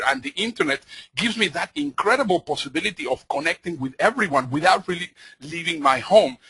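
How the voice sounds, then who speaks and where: The recording is dry and close with no echo, carrying a man's bright, sharp tone at a fairly high pitch with ordinary pitch variation. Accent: Spanish. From Mexico. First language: Spanish. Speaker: motivational speaker. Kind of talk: conference talk. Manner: fast; animated.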